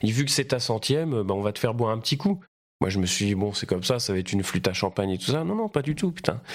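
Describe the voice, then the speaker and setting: A man with a medium-pitched voice talks at a very fast pace, his intonation lively. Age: 30s. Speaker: stage actor. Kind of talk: casual interview chat. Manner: halting, many fillers.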